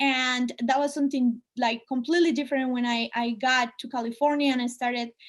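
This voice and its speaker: Speaking with a Spanish accent, the woman has a high-pitched voice. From Colombia (Medellin). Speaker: artist and speaker. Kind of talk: talk to students (webinar). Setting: video call webinar.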